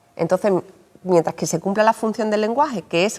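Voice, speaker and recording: A woman with an Andalusian accent talks at a fairly quick pace. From Andalusia, Seville. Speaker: journalist and writer. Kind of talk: interview. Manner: explanatory, addressing children.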